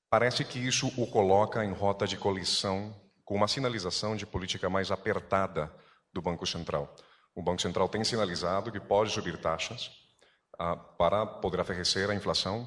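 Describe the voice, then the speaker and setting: A man with a fairly low voice and fairly even intonation is heard on a very clean recording with a silent background. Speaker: news agency journalist. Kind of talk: press conference question. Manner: fast.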